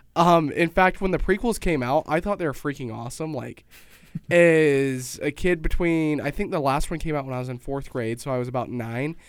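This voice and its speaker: In an American accent, a normal speaking voice proceeds at a moderate pace with ordinary pitch variation. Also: man, fairly high pitch for a man. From Utah, Pleasant Grove. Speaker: show regular. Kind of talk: casual chat. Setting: studio.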